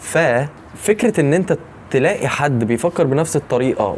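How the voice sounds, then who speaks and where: Over noticeable background noise, a man with an Egyptian accent talks at a medium pitch and a fairly slow pace with lively intonation. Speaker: YouTuber. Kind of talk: vlog monologue. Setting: outdoors early morning. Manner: quiet, lowered voice; halting, many restarts.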